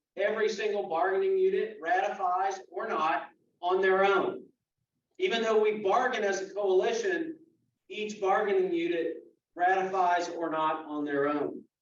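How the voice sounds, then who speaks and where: Speaking at a moderate pace, a man has a high pitch and ordinary pitch variation. Room echo is audible. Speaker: union official. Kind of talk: membership meeting briefing.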